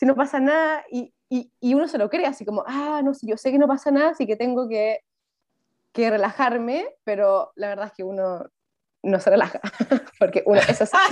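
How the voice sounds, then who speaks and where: In a Chilean accent, a woman speaks at a high pitch and a moderate pace with lively intonation. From Chile, Viña del Mar. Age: 20s. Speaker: journalist. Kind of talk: casual chat.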